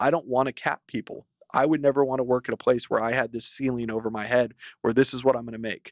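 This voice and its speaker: At a very fast pace, a man talks at medium pitch, the sound dry and close with no echo. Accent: American. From Idaho, near Boise. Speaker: personal injury lawyer, law firm co-founder. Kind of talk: podcast interview. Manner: animated.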